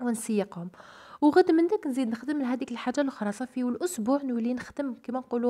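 A woman speaks in a dark, mellow tone at a high pitch. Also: dry, close sound with no echo. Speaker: homemaker vlogger and mother. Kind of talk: casual vlog narration and advice to mothers. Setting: at home.

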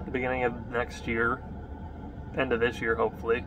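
A man is speaking. Noticeable background noise can be heard. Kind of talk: casual vlog chat. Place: car. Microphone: phone near.

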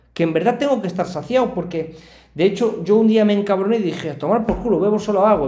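A man talks at a fairly quick pace in a high voice. His pitch varies an ordinary amount. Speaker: streamer reacting to a video. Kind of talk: casual reaction commentary. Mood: personal, confiding story.

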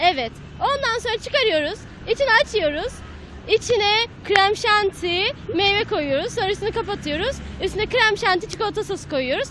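A woman speaks at a moderate pace in an extremely high voice with very wide pitch swings, the sound dry with no echo and faint music in the background. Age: 30s. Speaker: mother; interviewee. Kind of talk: street interview. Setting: outdoors. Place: street. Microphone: handheld.

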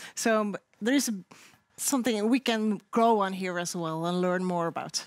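A woman of medium pitch speaks with a Norwegian accent at a moderate pace, with ordinary pitch variation. The sound is dry with no echo, and the background is quiet. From Norway. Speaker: sled dog racing commentator. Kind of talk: studio panel talk. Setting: studio. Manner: animated. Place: studio. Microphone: headset.

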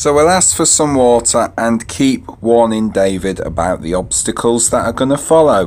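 Speaking at a moderate pace with hardly any pauses, a man uses a medium pitch and lively intonation at very even loudness. Background noise is noticeable. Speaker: gaming youtuber. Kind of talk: gameplay commentary.

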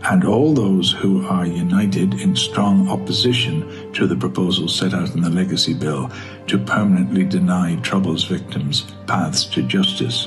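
With a Northern Irish accent, a man speaks in a very deep, low voice at a fairly slow pace. His intonation is lively, and clear music plays in the background. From Belfast, Northern Ireland. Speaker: actor. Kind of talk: open letter reading. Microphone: phone near.

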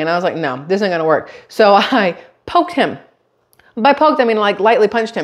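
Nothing stirs in the quiet background. The speech moves at a very fast pace. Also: woman. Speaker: vlogger. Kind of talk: casual vlog chat. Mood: amused storytelling. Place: kitchen.

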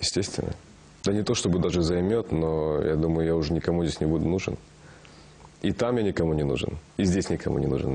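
Very deep and low, this man's voice has a dark, mellow tone and ordinary pitch variation, racing at a very fast pace with very even loudness. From Kazakhstan. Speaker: actor. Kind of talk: interview. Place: studio. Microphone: lapel.

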